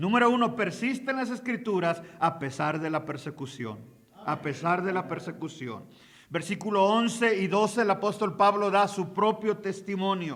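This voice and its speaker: Here a man talks in a high pitch with ordinary pitch variation. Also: moderate pace. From Mexico. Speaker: pastor and missionary. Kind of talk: sermon. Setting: conference hall with audience.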